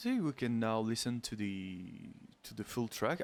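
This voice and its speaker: Recorded very cleanly against a silent background, a man with a medium pitch speaks at a very slow pace in a strong French accent. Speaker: music composer. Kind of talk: tutorial. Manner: halting, many fillers.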